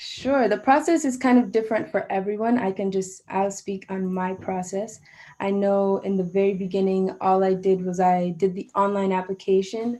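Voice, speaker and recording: At a moderate pace, a woman speaks at a medium pitch with a dark, mellow tone. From Jamaica. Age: 20s. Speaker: saxophonist and music student. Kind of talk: interview. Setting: video call.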